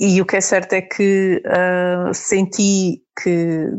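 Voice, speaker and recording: A woman's voice at a medium pitch. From Portugal, with ten teenage years in Germany. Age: 30s. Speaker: pilgrim mother. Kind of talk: interview testimony.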